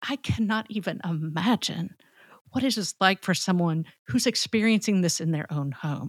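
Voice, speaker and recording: A woman's somewhat breathy voice with lively intonation comes across dry and close with no echo, on a very clean recording with a silent background. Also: medium pitch for a woman, moderate pace. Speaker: podcast co-host. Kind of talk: casual conversation.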